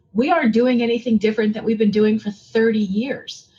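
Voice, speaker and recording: A woman speaks at a fairly quick pace in a fairly high voice. Her delivery is somewhat breathy. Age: 60s. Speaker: tourism executive. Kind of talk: interview.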